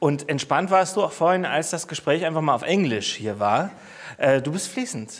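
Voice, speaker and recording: Using vocal fry, a man at fairly high pitch speaks at a moderate pace with very wide pitch swings. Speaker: festival TV host; talk show host. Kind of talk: casual chat. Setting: studio. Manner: cheerful. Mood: warm, cheerful. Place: studio. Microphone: lapel.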